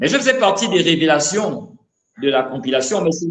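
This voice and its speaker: A man talks at a fairly quick pace with a high pitch. His voice moves in very wide pitch swings. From Gabon, Libreville. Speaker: rapper. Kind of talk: interview. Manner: halting, repeats words.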